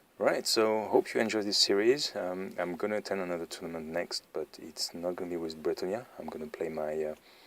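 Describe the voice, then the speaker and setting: Someone speaks with a French accent at a moderate pace. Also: man. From France. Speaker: tabletop wargaming YouTuber. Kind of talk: battle report commentary. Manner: flat, not enthusiastic; hesitant, many fillers.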